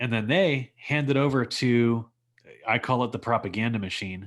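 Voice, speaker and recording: A man talks with a Texas accent at a moderate pace. The recording is very clean, with a silent background. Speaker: former plumber pitching a business project. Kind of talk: sales pitch.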